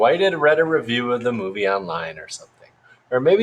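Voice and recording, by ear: The text is read aloud in a natural voice.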